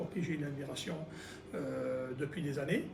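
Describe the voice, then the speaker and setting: Audible room echo colors the voice. The pace is moderate. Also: man. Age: 60s. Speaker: local election candidate. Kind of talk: political interview. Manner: hesitant, many fillers.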